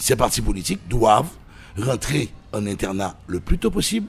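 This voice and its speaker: Vocal fry and very wide pitch swings from a man. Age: 60s. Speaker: political commentator. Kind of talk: radio interview. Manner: animated.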